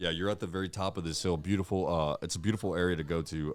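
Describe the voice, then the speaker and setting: A man with an American accent talks at a very fast pace in a very deep, low pitch. His intonation is fairly even, and the recording is very clean with a silent background. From Laredo, Texas (US-Mexico border). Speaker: podcast host. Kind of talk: casual chat. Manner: casual, filler-heavy.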